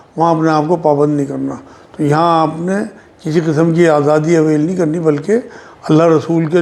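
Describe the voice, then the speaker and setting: A man speaks with a fairly high pitch and fairly even intonation. It is a normal speaking voice. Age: 60s. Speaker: Islamic religious scholar. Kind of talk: religious Q&A answering.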